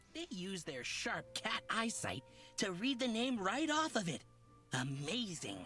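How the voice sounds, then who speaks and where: Against clear background noise, a put-on character voice at a middle pitch moves at a fairly slow pace with very wide pitch swings. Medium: video game. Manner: flowery, theatrical, over-polite; says purr aloud.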